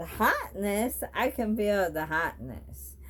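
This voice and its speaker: Very slow speech over noticeable background noise. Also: woman. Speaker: vlogger with ALS. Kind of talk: personal vlog monologue. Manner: slurred, thick speech.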